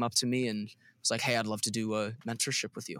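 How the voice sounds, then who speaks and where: A man talks at a very fast pace in a bright, sharp tone. The recording is very clean, with a silent background. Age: 20s. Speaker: worship leader. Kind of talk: casual chat.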